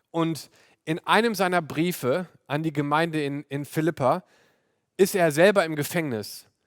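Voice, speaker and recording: With an unremarkable speaking voice, a man speaks at a fairly slow pace, his pitch fairly high and ordinarily varied. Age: 30s. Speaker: pastor. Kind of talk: sermon. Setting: video call.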